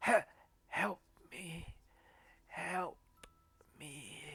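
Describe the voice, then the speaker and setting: The speaker whispers in a put-on character voice. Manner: whispering, pleading.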